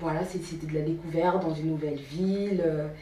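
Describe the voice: A woman with a low pitch and a dark, mellow tone speaks at a fairly quick pace, her intonation fairly even, with audible room echo.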